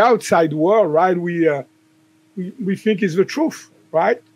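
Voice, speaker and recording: Pitched high for a man, this speaker has a slight French accent, ordinary pitch variation and a fairly slow pace. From southern France. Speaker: chiropractor and author. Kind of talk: podcast interview. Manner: hesitant, many fillers.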